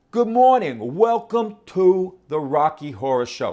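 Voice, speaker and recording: Putting on a gruff character voice, a man talks at a high pitch and a fairly slow pace, his pitch swinging very widely. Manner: tough, gruff.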